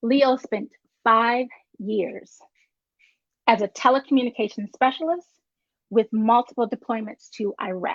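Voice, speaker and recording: In a dry, close recording with no echo, a woman with a fairly high voice speaks at a fairly slow pace with ordinary pitch variation and long, frequent pauses. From North Carolina, near Virginia border. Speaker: show host. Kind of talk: reading a guest introduction.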